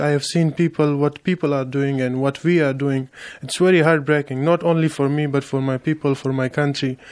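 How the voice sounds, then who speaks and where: A man talks at a moderate pace with fairly high pitch. His intonation stays flat and monotone. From Afghanistan. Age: 20s. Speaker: asylum seeker. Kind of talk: interview. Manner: halting.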